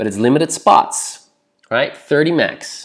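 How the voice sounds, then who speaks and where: Heard in a very clean recording with a silent background, a man speaks at a fairly slow pace with a fairly high pitch and vocal fry. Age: 30s. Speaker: social anxiety coach. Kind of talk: promotional message reading an email. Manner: animated.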